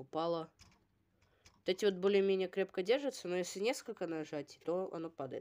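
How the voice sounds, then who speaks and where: A woman speaks at a moderate pace with a dark, mellow tone and ordinary pitch variation. Her pauses are long and frequent. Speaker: toy review video blogger; toy set reviewer. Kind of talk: product review. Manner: casual, hesitant with filler sounds. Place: home room. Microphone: phone near.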